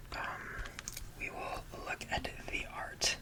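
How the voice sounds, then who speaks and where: Someone whispers in a relaxed tone. Noticeable background noise sits behind the voice. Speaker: ASMR content creator. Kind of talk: ASMR whispered rambling about a CD collection. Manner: whispered, relaxed, casual.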